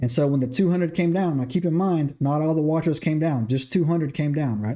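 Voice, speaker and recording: With a Southern accent, a man talks in a fairly high pitch. His tone is dark and mellow, and his pitch varies in an ordinary way. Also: quiet background. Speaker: podcast host. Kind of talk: livestream lecture on scripture. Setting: live stream. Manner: repetitive filler 'right?', stumbling.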